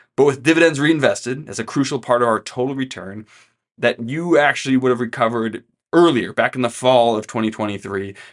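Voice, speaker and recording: A man at a medium pitch with ordinary pitch variation, fairly quick in pace, over a quiet background. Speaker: financial planner. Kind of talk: client update video talk. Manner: fast; casual.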